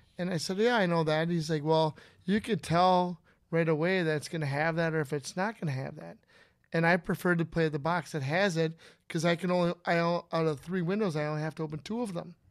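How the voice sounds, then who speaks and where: With an Upper Midwest accent, a man speaks at a high pitch and a fairly quick pace with fairly even intonation, on a very clean recording with a silent background. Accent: Upper Midwest (Minnesota). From Minnesota, Inver Grove Heights. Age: 50s. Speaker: pull tab player. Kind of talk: casual chat. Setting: studio.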